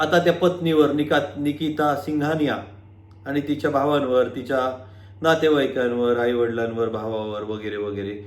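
Audible room echo surrounds a man's voice. His pitch is fairly high, with ordinary variation. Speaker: lawyer and legal YouTuber. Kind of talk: video monologue. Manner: animated.

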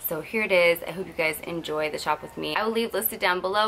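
Over light background noise, a woman speaks at a very fast pace with a fairly low pitch and fairly even intonation. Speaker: lifestyle vlogger. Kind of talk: casual vlog chat. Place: home room. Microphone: phone near.

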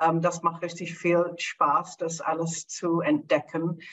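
This woman has an English accent. Her pitch is fairly low. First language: English (speaking German). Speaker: Master of Wine; guest. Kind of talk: panel discussion. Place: home room. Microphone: video call.

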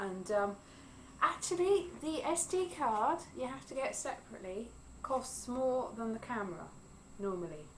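A woman at moderate pace with very wide pitch swings, light background noise behind her. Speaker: vlogger. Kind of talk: casual vlog chat. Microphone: phone near.

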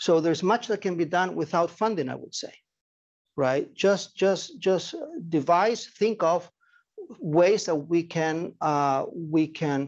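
Speaking at a moderate pace, a man uses a high pitch and a Spanish accent. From Chile. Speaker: nonprofit director and anthropologist. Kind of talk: lecture. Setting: seminar room with audience, streamed on Zoom.

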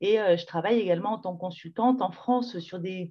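Against a quiet background, speech proceeds at a moderate pace, its pitch varying in an ordinary way. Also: woman. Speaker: public health advocate. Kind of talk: webinar talk. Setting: video call. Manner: casual, lively. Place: home room. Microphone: video call.

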